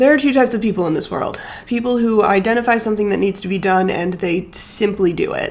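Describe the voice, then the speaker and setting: A woman speaks at a fairly quick pace. Noticeable background noise runs under her voice. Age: 20s. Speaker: lifestyle vlogger. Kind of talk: vlog narration to camera.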